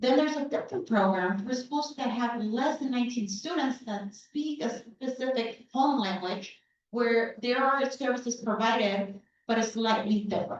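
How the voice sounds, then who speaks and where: Moderate speed and ordinary pitch variation from a high-pitched woman, plus audible room echo. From Chicago (Pilsen area), US Midwest. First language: Spanish. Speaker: school board member. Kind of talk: public presentation. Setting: community town hall meeting.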